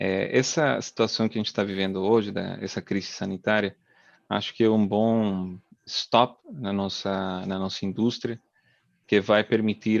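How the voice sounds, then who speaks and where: A man with a non-native accent talks at a fairly slow pace and fairly low pitch with fairly even intonation, the sound dry and close with no echo against a quiet background. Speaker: oil and gas drilling engineer. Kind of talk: webinar talk. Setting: live video webinar. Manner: hesitant, many fillers.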